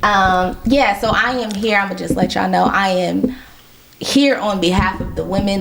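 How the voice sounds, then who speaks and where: A woman speaks at a moderate pace and medium pitch with ordinary pitch variation. Audible room echo and noticeable background noise accompany her. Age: 30s. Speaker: podcast host. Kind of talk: casual interview chat. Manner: animated.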